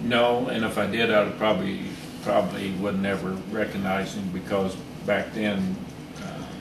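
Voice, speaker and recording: Noticeable background noise sits behind a man speaking at a moderate pace. His pitch is fairly low and his intonation fairly even. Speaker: Vietnam War Navy veteran; former diesel engine mechanic. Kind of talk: interview answer. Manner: hesitant, many filler pauses.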